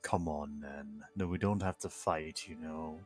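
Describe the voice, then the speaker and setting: Faint music plays in the background as a man uses a booming, put-on character voice with a very deep, low pitch at a fairly slow pace. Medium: game stream. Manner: grumbling, exasperated.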